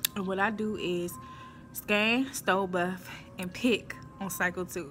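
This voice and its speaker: Music can be heard behind the speaker. She is a woman. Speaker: warehouse worker vlogger. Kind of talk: casual vlog chat. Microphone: phone near.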